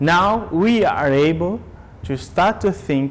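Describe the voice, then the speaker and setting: Very wide pitch swings mark this voice. The man talks at a very slow pace. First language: Portuguese. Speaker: business lecturer. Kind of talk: lecture.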